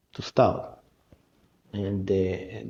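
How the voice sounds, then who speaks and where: A man speaks with an Israeli accent. His voice is somewhat breathy with a dark, mellow tone. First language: Hebrew. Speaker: art festival founder. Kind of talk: interview. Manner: halting.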